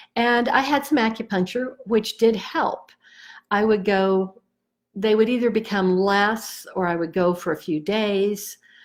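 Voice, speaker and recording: This woman has a normal speaking voice with a fairly high pitch and ordinary pitch variation. She talks at a fairly slow pace in a very clean recording with a silent background. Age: 60s. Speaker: EFT tapping practitioner. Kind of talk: personal testimony. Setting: Facebook live video. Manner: casual, conversational.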